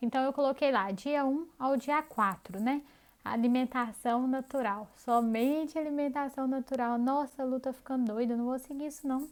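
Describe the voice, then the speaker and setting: A woman speaks in a high voice with a strong Minas Gerais accent and fairly even intonation. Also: moderate pace. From Brazil, Minas Gerais. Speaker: health and diet coach. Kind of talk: online course lesson. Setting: pre-recorded video. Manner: conversational.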